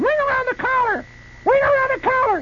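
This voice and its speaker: A man's shrill, put-on character voice at an extremely high pitch and a fairly quick pace. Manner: repetitive, shrieking.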